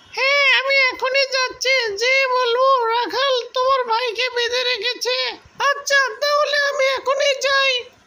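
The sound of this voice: An extremely high-pitched cartoonish character voice at a fairly slow pace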